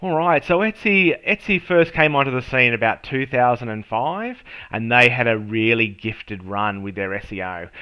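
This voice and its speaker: A man speaks with an Australian accent. His pitch swings very widely. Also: medium pitch for a man, moderate pace. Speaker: SEO and marketing professional. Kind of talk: tutorial. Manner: casual, with many fillers.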